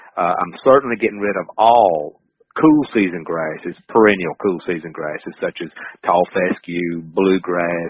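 Speaking at a fairly slow pace with a Southern US accent, a man has a very deep, low voice. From North Carolina. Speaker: wildlife management professor. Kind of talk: interview.

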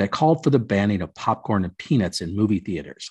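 A man with an American accent speaks at a fairly low pitch with lively intonation. His voice is somewhat breathy over a quiet background. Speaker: podcast host. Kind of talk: casual chat. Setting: video call.

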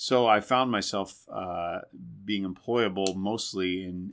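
A man with an American accent, fairly low in pitch, fairly even in intonation, with big swings in loudness. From Indiana. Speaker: Broadway actor and singer. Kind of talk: casual chat. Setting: backstage dressing room.

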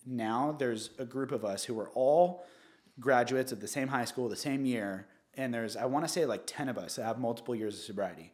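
Speaking at a fairly quick pace with ordinary pitch variation, a man talks in a Southern California accent. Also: medium pitch for a man. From Orange County, California. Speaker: real estate agent. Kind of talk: casual interview.

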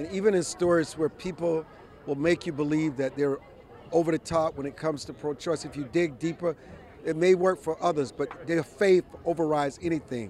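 A man with an unremarkable speaking voice talks at a fairly quick pace. His pitch is fairly high and his intonation fairly even. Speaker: street interviewer, host. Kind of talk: street interview, reporting. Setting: outdoors, crowd in front of court.

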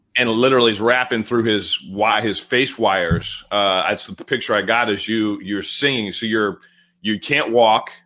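A man talks at a moderate pace with a medium pitch. It is a plain, everyday voice, its intonation fairly even. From California. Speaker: podcast host. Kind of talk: interview conversation.

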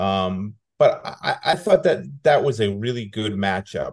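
In a normal speaking voice, a man talks at a moderate pace and fairly low pitch against a quiet background. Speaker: football beat reporter, guest. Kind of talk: casual interview chat.

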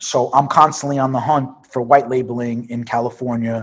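In a New York accent, a man speaks at a moderate pace with monotone, flat intonation on a very clean recording with a silent background. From Brooklyn, New York. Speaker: cannabis entrepreneur. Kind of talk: interview.

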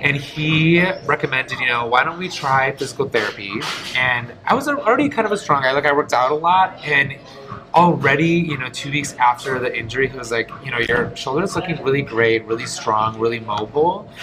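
A man talks at a fairly quick pace in a fairly high voice with ordinary pitch variation. Noticeable background noise runs underneath. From US Midwest, Detroit. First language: Polish. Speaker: stage performer and dancer. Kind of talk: casual interview.

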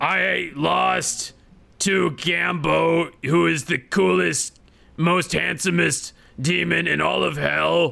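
A man does a put-on character voice, raspy and fairly high. He speaks at a very slow pace. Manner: boastful, silly.

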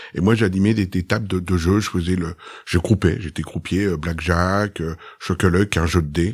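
Very deep, low-pitched man at a moderate pace with fairly even intonation, on a very clean recording with a silent background. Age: 50s. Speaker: magician. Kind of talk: podcast interview.

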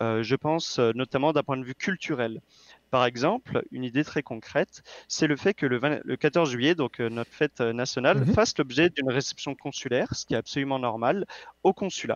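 A man with an ordinary speaking voice, medium pitch, moderate pace and ordinary pitch variation. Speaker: political candidate. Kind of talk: interview.

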